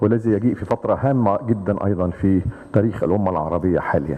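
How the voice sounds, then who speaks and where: Someone with an Arabic accent talks at a moderate pace with ordinary pitch variation amid noticeable background noise. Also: man. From Egypt. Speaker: retired army general, think tank chairman. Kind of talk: conference presentation. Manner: formal.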